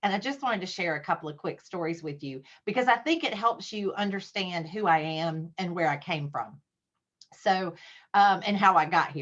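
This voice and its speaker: A woman speaks with a Southern US accent. Her pitch is medium, with ordinary variation. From US South, South Carolina (Spartanburg). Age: 50s. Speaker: Rotary leader, guest speaker. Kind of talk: club talk via video call. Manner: fast.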